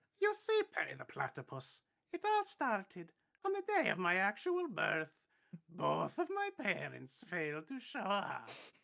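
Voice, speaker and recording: The speaker puts on a character voice. It moves at a moderate pace. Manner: dramatic, theatrical.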